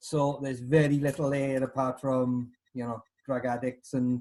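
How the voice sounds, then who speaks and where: The speaker is a man with a medium pitch. His intonation is monotone and flat. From Wales, South Wales Valleys (New Tredegar). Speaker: punk drummer. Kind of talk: casual interview.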